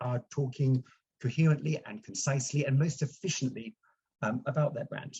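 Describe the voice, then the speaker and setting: A man speaks at a moderate pace in a fairly high, somewhat breathy voice. His pitch varies in an ordinary way. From UK. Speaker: branding consultant. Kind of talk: presentation. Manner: hesitant, many fillers.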